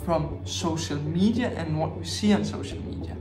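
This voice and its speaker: A man speaks while music plays clearly in the background. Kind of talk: advice talk to camera. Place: home room.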